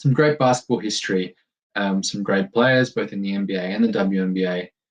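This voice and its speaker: This man talks at a fairly quick pace with an American accent. His fairly low voice shows ordinary pitch variation. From Germany. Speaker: podcast host. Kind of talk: casual solo podcast introduction. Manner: halting, many fillers.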